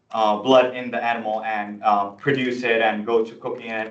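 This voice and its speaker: Audible room echo surrounds a man's medium-pitched voice, delivered in a monotone, flat intonation. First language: not English (English is third language). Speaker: student senator. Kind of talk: presentation at student meeting. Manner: halting, many fillers and restarts.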